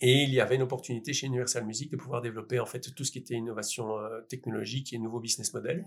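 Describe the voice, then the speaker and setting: At a very fast pace, a man with a medium pitch and a somewhat breathy voice speaks with fairly even intonation. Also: hardly any pauses. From Belgium, Liège. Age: 40s. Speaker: entrepreneur. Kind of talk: interview. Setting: in person recording.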